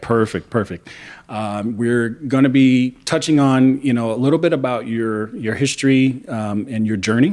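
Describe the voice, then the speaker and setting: A man talks at a moderate pace in a plain, everyday voice, medium in pitch with ordinary pitch variation. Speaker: podcast interviewer. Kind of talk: interview host talk.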